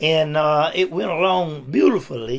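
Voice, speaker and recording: Fairly high in pitch for a man, this Appalachian accent carries ordinary pitch variation. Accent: Southern US (Appalachian North Carolina). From US South, North Carolina (Caldwell County). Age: 70s. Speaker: retired factory worker and pastor. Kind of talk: interview. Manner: halting.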